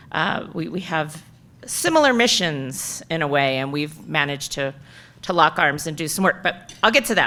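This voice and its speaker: Loud and bright, sharp in tone, the voice makes very wide pitch swings at a moderate pace. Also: woman. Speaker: keynote speaker, city storytelling office director. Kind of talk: keynote talk.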